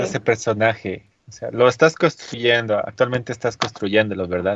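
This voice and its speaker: An unremarkable speaking voice at a moderate pace. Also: man. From Andean highlands. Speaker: podcast co-host and streamer. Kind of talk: casual chat.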